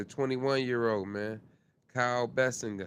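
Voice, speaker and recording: A man speaks at a medium pitch. He has a normal speaking voice with fairly even intonation. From upstate New York. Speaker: podcast host. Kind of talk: casual livestream chat. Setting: live stream.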